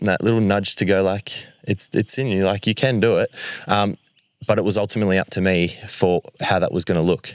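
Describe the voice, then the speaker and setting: A man with an Australian accent talks at a very fast pace in a fairly low pitch, recorded with a dry, close sound and no echo. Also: very even loudness. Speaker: community group founder. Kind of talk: panel conversation on stage. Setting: live event stage with audience. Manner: loud.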